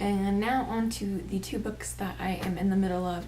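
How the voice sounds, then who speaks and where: A soft-spoken woman amid audible room echo and noticeable background noise. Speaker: booktuber. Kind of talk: casual book review vlog.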